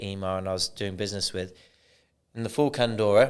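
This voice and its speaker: With a British accent, a man speaks at an unhurried, moderate rate. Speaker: podcast host, roving reporter. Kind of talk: casual interview chat. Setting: podcast studio.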